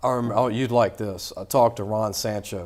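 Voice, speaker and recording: With a Louisiana accent, a man speaks in a fairly low voice with fairly even intonation. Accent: Louisiana Southern US. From Louisiana, Baton Rouge area. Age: 50s. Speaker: sports podcast host. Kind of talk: casual interview chat.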